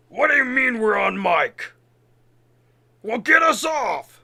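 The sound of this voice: A man puts on a raspy character voice at an extremely high pitch. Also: fairly slow pace.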